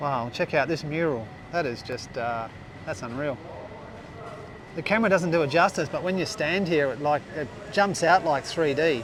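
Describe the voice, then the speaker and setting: A man speaks at a moderate pace with fairly high pitch and ordinary pitch variation. His long pauses come often, over noticeable background noise. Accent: Australian. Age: 60s. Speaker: travel vlogger. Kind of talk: casual vlog narration. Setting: outdoors. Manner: animated.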